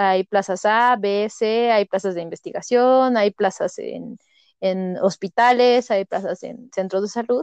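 A woman talks in a plain, everyday voice at a fairly high pitch with ordinary pitch variation. The background is quiet. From Mexico, Toluca. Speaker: doctor. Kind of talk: casual chat.

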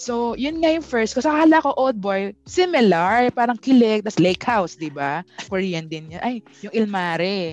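At a moderate pace, a woman speaks with a fairly high pitch that swings very widely. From Philippines, Pampanga. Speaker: podcast host. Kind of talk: casual chat.

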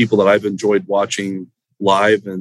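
With an American accent and an unremarkable speaking voice, a man talks at a moderate pace in a fairly low pitch. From Central Florida. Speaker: poker marketing director. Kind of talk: casual interview.

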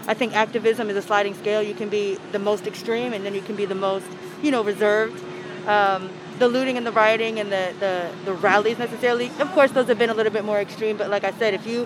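Very fast speech from a woman with an American accent, fairly even intonation and noticeable background noise. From Alexandria, Virginia. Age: 20s. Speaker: protester interviewed on the street. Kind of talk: street interview.

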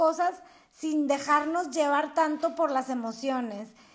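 On a very clean recording with a silent background, a woman with a high voice speaks fairly slowly with ordinary pitch variation. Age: 40s. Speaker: podcast host. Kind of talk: spiritual self-help monologue. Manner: warm, affectionate.

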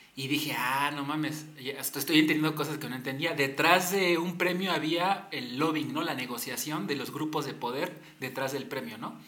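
A man with a fairly high pitch talks at a moderate pace, with noticeable background noise and audible room echo. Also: fairly even intonation. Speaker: podcast host and advertising creative. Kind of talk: casual chat.

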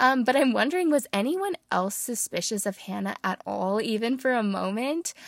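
A woman with an ordinary speaking voice, fairly high pitch and moderate pace, in a dry, close sound with no echo and a very clean recording with a silent background. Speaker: podcast host and book reviewer. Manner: measured, expressive storytelling delivery while reading the passage; conversational, warm, earnest.

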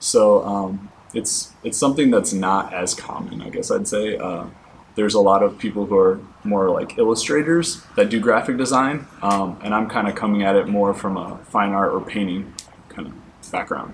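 Against noticeable background noise, a man with an American accent and fairly low pitch speaks at a moderate pace with ordinary pitch variation. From Michigan. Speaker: art graduate student. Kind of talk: interview.

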